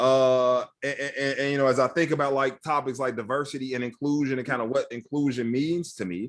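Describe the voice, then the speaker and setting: A man with an American accent talks at a fairly quick pace with hardly any pauses, at a medium pitch and with fairly even intonation, in an unremarkable speaking voice. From Chicago, South Side (Roseland). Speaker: tech training nonprofit CEO. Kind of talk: interview conversation. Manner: casual, repetitive filler words.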